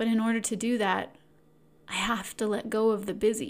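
A woman speaks at a fairly high pitch. Her tone is calm and soothing. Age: 40s. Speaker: podcast host, self-help coach. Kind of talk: solo self-help talk. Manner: calm, soothing.

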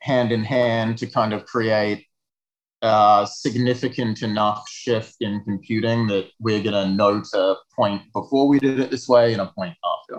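A man speaks at a medium pitch and a fairly slow pace. His intonation stays fairly even. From Western Australia. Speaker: video game studio founder. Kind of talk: interview.

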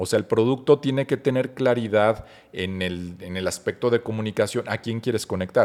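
Speaking in a Mexican accent, a man uses medium pitch, ordinary pitch variation and a moderate pace. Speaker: marketing expert. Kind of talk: interview.

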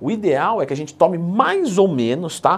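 A man speaks in an animated tone at a fairly high pitch. His pitch swings very widely. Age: 30s. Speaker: fitness coach YouTuber. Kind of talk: tutorial. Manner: casual, animated.

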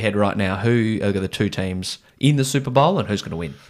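In a very clean recording with a silent background, the speaker talks with an Australian accent. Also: man. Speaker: sports podcast host. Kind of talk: casual sports chat. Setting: studio. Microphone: new microphone.

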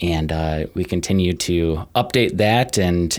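A man's very deep, low voice with an American accent, on a very clean recording with a silent background. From Minnesota, Twin Cities area. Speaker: byway coordinator. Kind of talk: casual interview. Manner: hesitant fillers.

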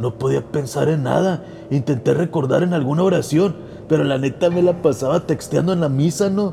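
Noticeable background noise sits behind a man's voice. His pitch is fairly high and his intonation lively. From Tijuana, Mexico. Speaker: podcast host and storyteller. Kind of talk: ghost story telling, horror narration in first person. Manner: animated, playful, casual intro and outro.

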